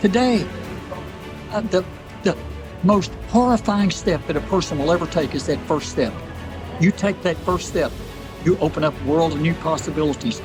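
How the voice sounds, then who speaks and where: Over music in the background, a man with a high pitch and ordinary pitch variation talks at a moderate pace, leaving long, frequent pauses. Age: 80s+. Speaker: ultramarathon runner; war veteran. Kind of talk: motivational interview answer. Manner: fervent, preacher-like.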